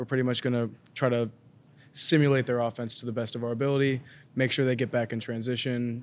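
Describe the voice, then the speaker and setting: Over noticeable background noise, a man with an American accent talks at a medium pitch in a monotone, flat intonation. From Colorado, Denver area. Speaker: college basketball walk-on player. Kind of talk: casual chat. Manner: hesitant, many fillers.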